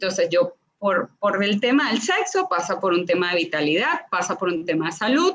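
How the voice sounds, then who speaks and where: Lively intonation from a woman at medium pitch and a moderate pace. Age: 40s. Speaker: sex and relationship coach. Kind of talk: casual interview chat. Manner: animated.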